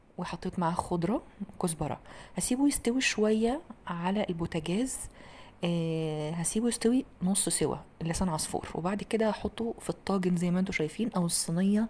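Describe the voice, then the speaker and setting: A woman's speech has ordinary pitch variation and moves at a moderate pace. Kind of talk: tutorial. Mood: warm, enthusiastic. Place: kitchen.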